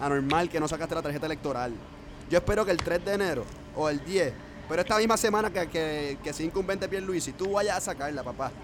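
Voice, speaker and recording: Someone with a Puerto Rican accent talks at a fairly quick pace with ordinary pitch variation. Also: man. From San Juan, Puerto Rico. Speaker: podcast co-host. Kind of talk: casual political discussion.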